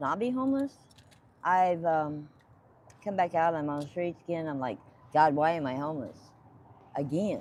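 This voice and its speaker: Her intonation is lively, and this woman's pitch is fairly low. She keeps a moderate pace with long, frequent pauses. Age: 60s. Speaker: homeless woman. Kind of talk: street interview.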